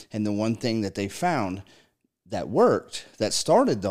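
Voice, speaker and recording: Fairly low-pitched male speech at a fairly quick pace with ordinary pitch variation, on a very clean recording with a silent background. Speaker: podcast host in addiction recovery. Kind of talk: casual chat. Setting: studio. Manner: animated.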